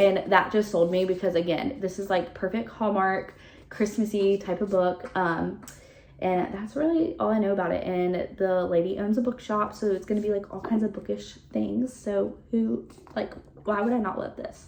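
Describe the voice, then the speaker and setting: A woman speaks at a moderate pace with a medium pitch. Her pitch varies in an ordinary way, and noticeable background noise is present. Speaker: book reviewer. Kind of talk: casual chat. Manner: animated.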